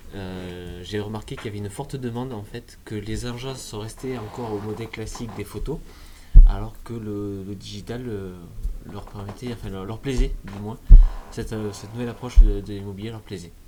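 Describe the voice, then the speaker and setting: In a room with audible echo, a man with a fairly low, dark and mellow voice talks with fairly even intonation but big swings in loudness. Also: fairly quick pace. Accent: slight southwestern French. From Lot-et-Garonne, southwest France. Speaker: real estate agent. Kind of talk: podcast interview. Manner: hesitant, many filler sounds.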